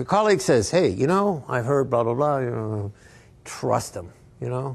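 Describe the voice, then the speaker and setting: A somewhat breathy man talks at a fairly quick pace with very wide pitch swings. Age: 70s. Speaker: amplifier designer. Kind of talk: casual talk to a store audience. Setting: in-store event with audience. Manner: halting, many fillers and restarts.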